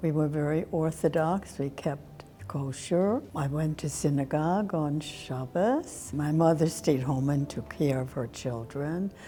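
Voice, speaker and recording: A woman's very deep, low voice at a fairly slow pace, with hardly any pauses and ordinary pitch variation. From Germany. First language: German. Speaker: Holocaust survivor. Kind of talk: oral history interview.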